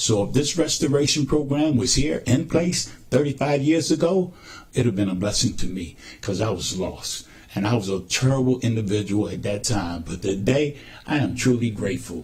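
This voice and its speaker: The voice has lively intonation, sounds somewhat breathy, and keeps a moderate pace. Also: man, medium pitch for a man. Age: 60s. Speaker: recovering addict speaking at forum. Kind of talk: testimony. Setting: public forum.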